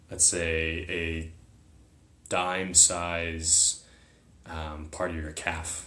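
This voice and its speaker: A man with a very deep, low pitch, a bright, sharp tone and an American accent, monotone and flat, at a very slow pace with long, frequent pauses and audible room echo. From US, partly raised in China as a small child. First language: Chinese. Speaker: military academy graduate, psychedelic retreat participant. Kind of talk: casual interview chat.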